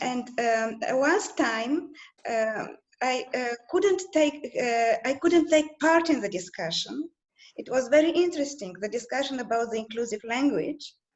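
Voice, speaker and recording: Speaking at a fairly slow pace, a woman with a Bulgarian accent uses a high pitch and lively intonation. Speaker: translator at a European institution. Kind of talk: group video call discussion. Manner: halting, many fillers.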